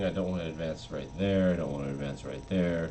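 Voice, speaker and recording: A man with a very deep, low voice uses lively intonation, and audible room echo surrounds him. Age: 30s. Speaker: chess streamer. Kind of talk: casual live-stream commentary.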